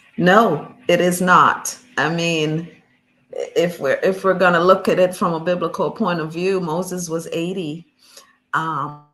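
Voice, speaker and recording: A woman talks in an ordinary speaking voice at a fairly low pitch. Her pace is fairly slow and her intonation fairly even. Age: 60s. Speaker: author and speaker. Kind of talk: interview.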